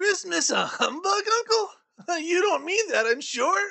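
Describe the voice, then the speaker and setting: A put-on character voice at an extremely high pitch and a fairly slow pace. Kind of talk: audiobook reading with character voices. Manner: cheerful, upbeat.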